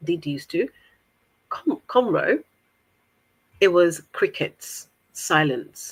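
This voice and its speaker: A woman with an African accent speaks at a fairly slow pace. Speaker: guest on interview podcast. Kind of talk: interview conversation.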